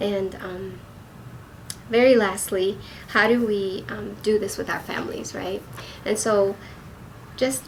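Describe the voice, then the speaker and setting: A woman at a fairly slow pace with fairly even intonation, over noticeable background noise. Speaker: acupuncturist. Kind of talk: wellness talk.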